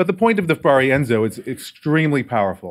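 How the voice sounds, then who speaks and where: Recorded very cleanly with a silent background, a man speaks at a fairly quick pace. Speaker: agile process director at a media company. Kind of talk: conference talk. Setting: stage with audience and microphone. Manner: loud talker, speaking softly here.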